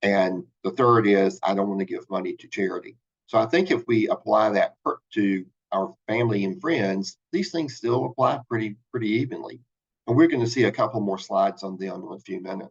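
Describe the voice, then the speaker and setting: A man with an ordinary speaking voice and an American accent talks at a fairly quick pace and medium pitch, his intonation lively and his loudness swinging widely. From US South, South Carolina. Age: 60s. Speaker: financial advisor. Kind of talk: webinar presentation.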